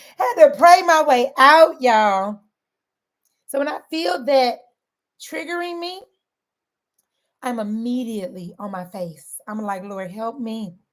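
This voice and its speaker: In a Southern accent, the speaker's animated tone moves at a fairly slow pace with long, frequent pauses, very wide pitch swings and big swings in loudness. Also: woman, high pitch for a woman. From St. Louis, Missouri. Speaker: weight loss coach. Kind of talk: motivational talk.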